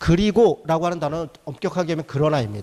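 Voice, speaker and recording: A man at a very fast pace, high in pitch for a man. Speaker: pastor. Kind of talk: lecture. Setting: church. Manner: animated.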